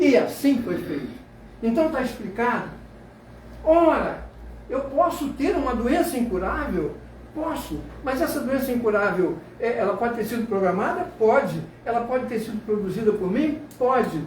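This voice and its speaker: An animated man with extremely high pitch and lively intonation, at a moderate pace with long, frequent pauses, amid noticeable background noise and audible room echo. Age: 80s+. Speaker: sociologist lecturer. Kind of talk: lecture.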